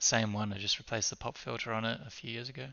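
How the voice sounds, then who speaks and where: Soft-spoken and at a moderate pace, the voice comes over music in the background. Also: man. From Sweden. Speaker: livestreamer. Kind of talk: casual livestream chat.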